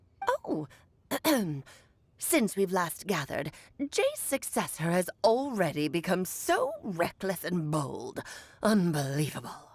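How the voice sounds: In a put-on character voice, the speaker moves at a fairly slow pace with long, frequent pauses. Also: woman, medium pitch for a woman.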